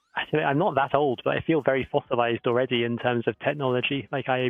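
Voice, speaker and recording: In a southern English accent, a man speaks at medium pitch with fairly even intonation. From southern England, Oxford. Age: 30s. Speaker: professor and company co-founder. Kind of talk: panel Q&A on live stream.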